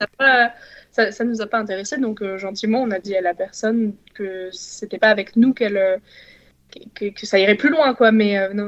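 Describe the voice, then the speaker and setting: A woman speaks in an unremarkable speaking voice at a fairly high pitch. Her intonation stays fairly even, at a moderate pace. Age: 20s. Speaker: cycling traveller. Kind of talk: podcast interview.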